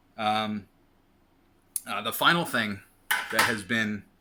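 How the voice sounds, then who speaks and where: The man's voice sits fairly low in pitch, with ordinary pitch variation, a fairly slow pace and a bright, sharp tone. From New York City, Queens. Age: 40s. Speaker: weight loss vlogger. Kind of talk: casual vlog monologue. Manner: rambling, repetitive with many fillers.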